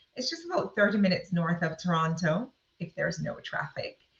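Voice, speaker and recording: The speaker has a Jamaican accent. The tone is bright and sharp. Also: woman. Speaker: communications consultant, mentor. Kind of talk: live Q&A video session.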